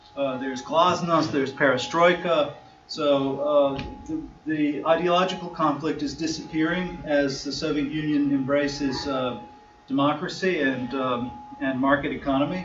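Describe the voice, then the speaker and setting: With an American accent, a man with a fairly high voice speaks at a moderate pace and fairly even intonation, over noticeable background noise and audible room echo. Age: 50s. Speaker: lawyer and discussion-group chair. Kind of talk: conference talk. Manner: hesitant, many fillers.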